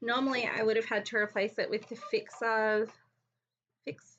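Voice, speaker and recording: A woman with an Australian accent speaks at a fairly high pitch with ordinary pitch variation. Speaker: crafting YouTuber. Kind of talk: live crafting tutorial. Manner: fast; casual, with many fillers.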